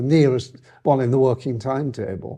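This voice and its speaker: A man with a Lancashire accent speaks in a fairly high pitch with a dark, mellow tone against a quiet background. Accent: northern English (Lancashire). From northern England, Lancaster. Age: 80s+. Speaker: retired transport executive. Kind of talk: interview reminiscence. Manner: halting, many fillers.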